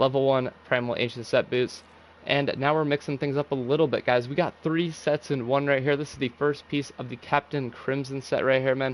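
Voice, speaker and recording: A man speaks at a fairly quick pace with a fairly high pitch. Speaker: gaming YouTuber. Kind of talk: tutorial. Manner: fast; animated.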